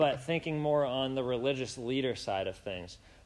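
A man speaks at a moderate pace in a plain, everyday voice with a medium pitch. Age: 20s. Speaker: preacher. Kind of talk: sermon. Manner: casual, with many fillers.

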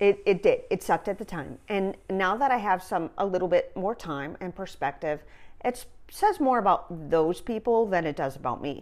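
With an unremarkable speaking voice, a woman talks at a moderate pace and medium pitch, her intonation lively and her loudness swinging widely. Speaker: recreational therapist and yoga teacher. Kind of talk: casual interview chat.

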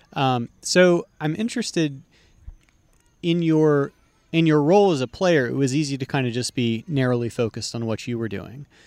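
With an American accent, a man speaks in an ordinary speaking voice at a moderate pace. His fairly high pitch carries lively intonation, and the sound is dry and close with no echo. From Texas. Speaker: podcast host and disc golf player. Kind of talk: casual chat.

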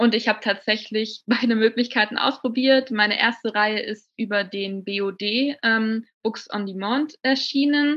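This woman has a normal speaking voice, fairly high in pitch, talking at a fairly slow pace with fairly even intonation. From Bavaria, near Munich. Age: 20s. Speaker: novelist. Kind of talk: interview.

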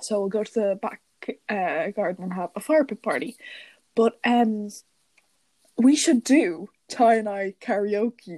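A woman's dark, mellow voice in an Irish accent, medium in pitch with ordinary pitch variation, at a fairly slow pace with long, frequent pauses, dry and close with no echo. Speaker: podcast co-host. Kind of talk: casual chat.

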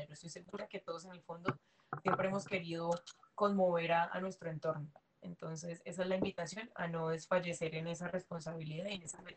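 Fairly quick and somewhat breathy, a woman speaks at a fairly low pitch in a monotone with flat intonation. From Colombia, Cali. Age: 20s. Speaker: dancer. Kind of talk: casual interview.

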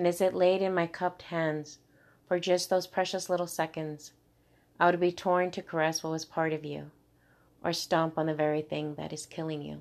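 Against a quiet background, a woman with a fairly low voice speaks at a moderate pace in a monotone, flat intonation. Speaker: poet. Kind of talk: spoken-word poem, intimate and heartfelt, read aloud. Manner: emotional, tender, measured pacing with vivid imagery.

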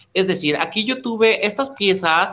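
Speaking at a moderate pace, a man uses a normal speaking voice with lively intonation. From Mexico, Oaxaca (born Tehuacán, Puebla). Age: 40s. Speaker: menswear fashion designer. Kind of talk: interview.

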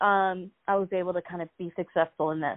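Speaking with an American accent at a moderate pace, a woman has an unremarkable speaking voice with a medium pitch and ordinary pitch variation. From US Northeast, Philadelphia. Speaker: real estate agent. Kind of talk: interview.

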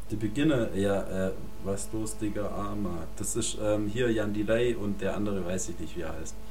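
A man speaks at a moderate pace over music in the background, with audible room echo. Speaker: podcast co-host. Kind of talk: casual chat. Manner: animated.

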